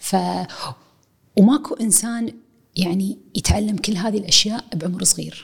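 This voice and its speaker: A woman speaks at a fairly slow pace with long, frequent pauses. Her medium-pitched voice is somewhat breathy, with ordinary pitch variation. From Kuwait. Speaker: university professor. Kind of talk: casual chat. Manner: mixes English and Arabic.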